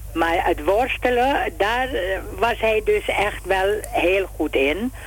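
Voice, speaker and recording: The pace is very slow. Noticeable background noise sits behind the voice. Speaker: brother of a deceased athlete. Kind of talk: radio interview. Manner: halting.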